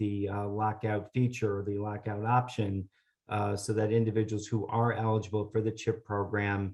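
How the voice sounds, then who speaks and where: A man speaks at a moderate pace in a fairly low, dark, mellow voice. His intonation stays monotone and flat over a quiet background. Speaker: government policy presenter. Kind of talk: webinar presentation. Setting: online webinar. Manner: hesitant, many filler sounds.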